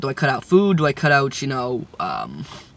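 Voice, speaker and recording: A man talks at a fairly high pitch while noticeable background noise fills the recording. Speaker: vlogger. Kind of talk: casual vlog monologue. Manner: halting, many fillers.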